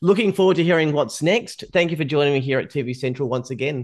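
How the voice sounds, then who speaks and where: Lively intonation comes through with an Australian accent against a quiet background. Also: man. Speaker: podcast host, TV news journalist. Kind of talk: interview.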